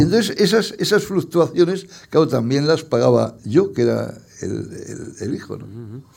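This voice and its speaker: The voice has very wide pitch swings, big swings in loudness and vocal fry. Audible room echo surrounds it. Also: man, fairly high pitch for a man, moderate pace. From Spain, Madrid. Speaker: poet and journalist. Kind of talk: public interview. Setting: stage with audience.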